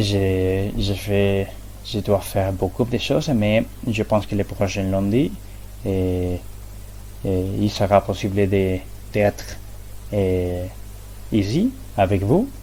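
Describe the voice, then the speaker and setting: With long, frequent pauses and a very slow pace, a man talks at a fairly low pitch with ordinary pitch variation. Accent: non-native. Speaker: student presenting research methods. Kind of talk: academic presentation. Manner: halting, many hesitations and repetitions.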